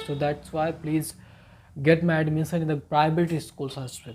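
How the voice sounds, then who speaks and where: On a very clean recording with a silent background, a man with an Indian accent speaks at a fairly slow pace and fairly high pitch in a monotone, flat delivery. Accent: Indian English, Hindi-speaking. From rural northern India. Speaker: English learner. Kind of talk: personal story told to camera.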